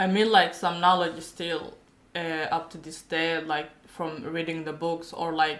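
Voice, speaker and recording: Speaking at a fairly slow pace, a woman with a fairly low pitch keeps a monotone, flat intonation amid big swings in loudness and audible room echo. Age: 20s. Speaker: university graduate. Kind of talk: casual chat. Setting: podcast.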